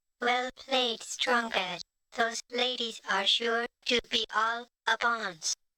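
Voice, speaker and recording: A female-sounding voice performs a put-on character voice. The pace is very slow. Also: fairly high pitch for a woman. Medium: video game. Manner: flirty.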